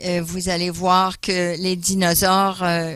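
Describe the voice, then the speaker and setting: Here a man speaks at a very slow pace with a high pitch. His intonation is monotone and flat. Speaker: guest speaker on creationism. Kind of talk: church talk. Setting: church. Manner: hesitant, many fillers.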